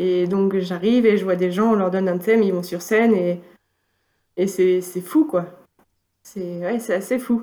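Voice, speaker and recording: A woman with a dark, mellow tone and medium pitch speaks at a fairly slow pace, with ordinary pitch variation and long, frequent pauses. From northern France, Valenciennes. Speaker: student and amateur improviser. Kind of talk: casual interview.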